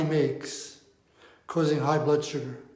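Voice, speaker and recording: At a moderate pace, a man with a fairly high pitch speaks amid audible room echo. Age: 70s. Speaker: diabetes coach. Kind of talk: talking-head explainer.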